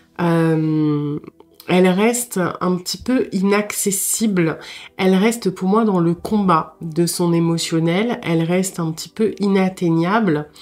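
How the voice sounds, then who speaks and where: A woman talks very slowly. Her medium pitch shows ordinary variation. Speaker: tarot reader. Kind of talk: interactive tarot reading. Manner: halting, many hesitations.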